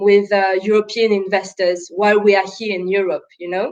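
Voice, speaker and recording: A woman with a French accent, fairly high in pitch, with fairly even intonation. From France and Congo. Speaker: impact investor, startup co-founder. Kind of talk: panel interview on live webinar.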